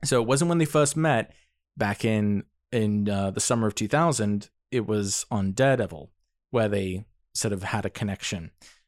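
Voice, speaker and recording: A man with an unremarkable speaking voice talks at a fairly low pitch and a moderate pace, with lively intonation. The sound is dry and close with no echo, on a very clean recording with a silent background. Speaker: astrologer.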